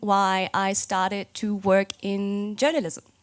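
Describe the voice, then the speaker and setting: A woman speaks with a German accent. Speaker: games journalist. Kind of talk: conference talk. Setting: stage with audience. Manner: hesitant, many fillers.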